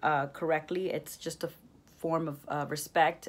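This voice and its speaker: Speaking in a flat monotone at a fairly slow pace, a woman is heard in a very clean recording with a silent background. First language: Spanish. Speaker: education student. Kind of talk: class reflection monologue. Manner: hesitant, many fillers.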